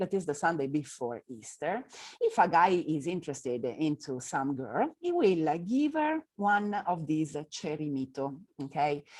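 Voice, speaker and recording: With an Italian accent, a woman speaks at a fairly slow pace. Her intonation is lively, and the background is quiet. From northern Italy. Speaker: tour guide. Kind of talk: lecture. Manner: halting, many fillers.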